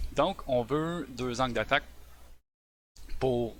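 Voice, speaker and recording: With a Quebec accent, the speaker talks very slowly in a bright, sharp tone with vocal fry and ordinary pitch variation. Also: man. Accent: Québécois French. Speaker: software developer. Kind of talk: tech presentation on a live stream. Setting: live stream. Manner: hesitant, many fillers.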